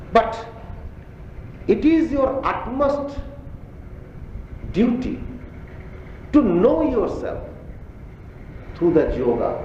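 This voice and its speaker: Speaking with a Bengali accent at a very slow pace, a man leaves long, frequent pauses amid audible room echo and noticeable background noise. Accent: Bengali-accented Indian English. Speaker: spiritual teacher. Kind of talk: religious discourse to audience. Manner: halting.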